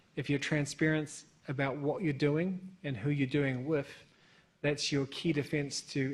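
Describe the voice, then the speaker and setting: A man with a New Zealand accent, fairly high-pitched and flat, monotone in delivery. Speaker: bank sanctions compliance expert, panelist. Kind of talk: conference panel discussion.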